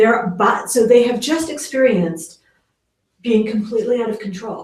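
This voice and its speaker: Her fairly high, somewhat breathy voice moves at a moderate pace with ordinary pitch variation. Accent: American. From New York. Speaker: parenting educator. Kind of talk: interview on parenting.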